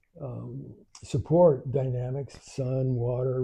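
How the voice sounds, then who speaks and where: Medium in pitch and somewhat breathy, a man speaks in a flat monotone. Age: 80s+. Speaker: spiritual teacher, grandfather. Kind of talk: live spiritual talk. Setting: live stream at home with in-person viewers. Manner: reflective, halting with repetitions.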